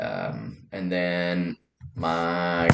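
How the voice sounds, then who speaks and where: This man speaks with a Californian accent. His pitch is very deep and low. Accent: Californian American. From Southern California. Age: 30s. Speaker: vlogger. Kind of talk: casual personal monologue. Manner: halting, many fillers.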